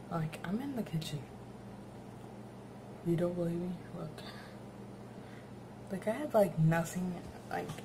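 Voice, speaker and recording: A soft-spoken woman talks at a fairly slow pace with a fairly low pitch. Noticeable background noise sits behind her. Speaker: new vlogger. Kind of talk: casual talk to camera. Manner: soft-spoken, quiet. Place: kitchen. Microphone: phone near.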